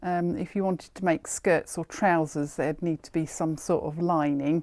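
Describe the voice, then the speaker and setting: A woman has an unremarkable speaking voice with a fairly low pitch, fairly even intonation and a moderate pace. Her loudness swings widely in a very clean recording with a silent background. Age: 60s. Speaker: haberdashery shop owner. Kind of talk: product showcase video. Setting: in a shop. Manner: casual, chatty.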